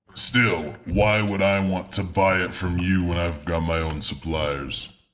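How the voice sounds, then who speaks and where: Putting on a character voice, a man talks fairly slowly at a very deep, low pitch with fairly even intonation and an audible echo. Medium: actual play. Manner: curt, scornful.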